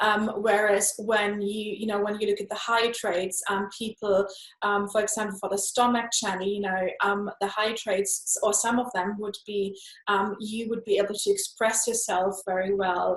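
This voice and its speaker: With a non-native accent, a woman speaks in monotone, flat intonation against noticeable background noise. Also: medium pitch for a woman, moderate pace. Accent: noticeable foreign. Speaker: energy healer, meridian body worker. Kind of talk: interview answer.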